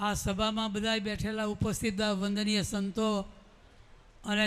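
In monotone, flat intonation, a man with a high pitch speaks amid audible room echo. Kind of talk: memorial tribute speech. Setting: assembly hall with audience, wireless microphone.

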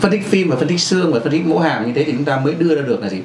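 Over light background noise and audible room echo, a man speaks at a very fast pace. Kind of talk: lecture. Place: office. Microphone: camera far.

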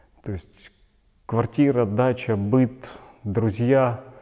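Speaking at a very slow pace, a man has a dark, mellow tone and fairly even intonation against a quiet background. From Donetsk, eastern Ukraine. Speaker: displaced person activist. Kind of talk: video blog monologue. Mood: serious, earnest. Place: studio.

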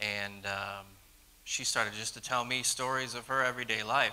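A man talks at a moderate pace. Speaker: guest. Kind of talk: personal testimony talk. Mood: earnest, gentle, a little nervous. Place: church. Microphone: handheld.

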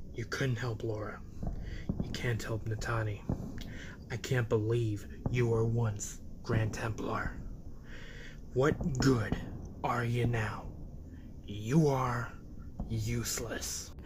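Against loud background noise, a man growls at a very slow pace in a raspy, medium-pitched put-on character voice, with long, frequent pauses. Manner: contemptuous.

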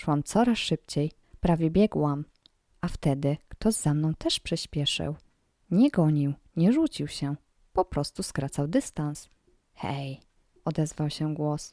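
Very slow delivery with long, frequent pauses, a dark, mellow tone, ordinary pitch variation, and a dry, close sound with no echo. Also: woman, very deep, low pitch for a woman, very clean recording, silent background. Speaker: creepypasta narrator. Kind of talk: scripted horror story narration, first-person. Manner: hushed, slow, suspenseful, building tension.

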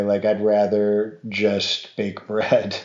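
In a quiet background with audible room echo, a man speaks with an American accent at a fairly low pitch. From Montana. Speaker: artisan baker and falconer. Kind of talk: casual conversation. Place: home room.

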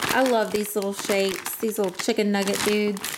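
With noticeable background noise, a woman talks at a moderate pace. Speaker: home vlogger. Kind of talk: casual vlog chat. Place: home room. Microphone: phone near.

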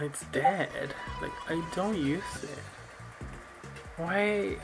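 A man talks very slowly while clear music sounds behind him. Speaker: gaming YouTuber. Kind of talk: casual gaming commentary. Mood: weary, wry. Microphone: webcam.

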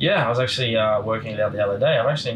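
A man speaks with an Australian accent over light background noise. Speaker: motorcycle racer; guest. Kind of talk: casual chat.

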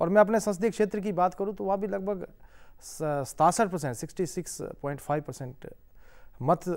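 A man's high voice at a moderate pace, with ordinary pitch variation, long, frequent pauses and a quiet background. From Himachal Pradesh, India. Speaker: member of parliament; politician guest. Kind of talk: interview. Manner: formal. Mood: calm, smiling. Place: studio. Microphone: lapel.

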